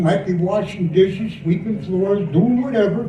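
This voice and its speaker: Amid noticeable background noise and audible room echo, a man speaks at a high pitch with ordinary pitch variation. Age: 70s. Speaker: war veteran. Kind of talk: speech.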